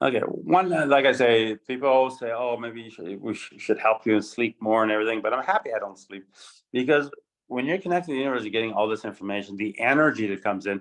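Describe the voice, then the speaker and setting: A man talking at a very fast clip, with ordinary pitch variation. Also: medium pitch for a man. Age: 60s. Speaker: coach. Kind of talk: group coaching call. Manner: halting, repetitive.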